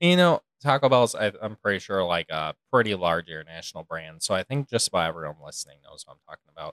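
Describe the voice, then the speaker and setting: A man with an American accent talks at a very fast pace with hardly any pauses, using a fairly low pitch. His voice has very wide pitch swings and big swings in loudness, with a dry, close sound and no echo. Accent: regional US accent, recently noted. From non-coastal United States. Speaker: podcast co-host. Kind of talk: casual chat.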